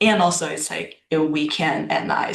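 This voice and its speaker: Someone speaks at a moderate pace with a Chinese accent over noticeable background noise. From China. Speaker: student. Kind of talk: class self-introduction. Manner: halting.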